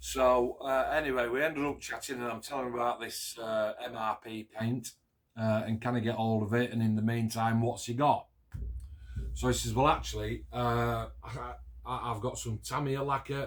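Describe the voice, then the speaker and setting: In a South Yorkshire accent, a man speaks at a moderate pace. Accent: Yorkshire, Barnsley. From northern England, near Barnsley, South Yorkshire. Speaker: scale model builder and hobby video maker. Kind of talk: casual chat, build review to camera.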